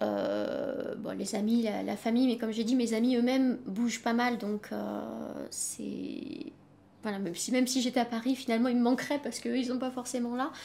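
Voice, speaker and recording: A woman talks at a moderate pace in a high pitch. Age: 30s. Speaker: freelance French-as-foreign-language teacher. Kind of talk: interview. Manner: halting.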